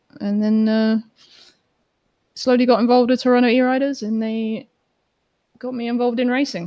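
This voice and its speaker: A woman's voice with fairly even intonation, dry and close with no echo. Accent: British. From UK. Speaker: electric skateboard racer. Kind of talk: casual interview chat. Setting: live stream.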